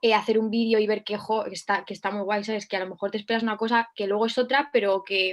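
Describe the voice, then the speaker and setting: The woman's voice is pitched fairly high. It stays monotone and flat in intonation. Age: 20s. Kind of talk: interview.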